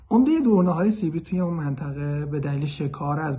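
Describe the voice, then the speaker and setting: A man talks at a fairly quick pace in a fairly high pitch, with a dark, mellow tone and a somewhat breathy quality. His pitch varies in an ordinary way, and there is audible room echo. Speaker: bird conservationist. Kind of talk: explanatory monologue. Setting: self-recorded video.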